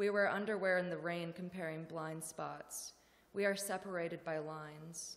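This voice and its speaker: A woman with an ordinary speaking voice talks at a fairly slow pace in a fairly low pitch. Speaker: poet. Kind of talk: poetry reading, fragmentary and bodily imagery. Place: hall. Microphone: podium.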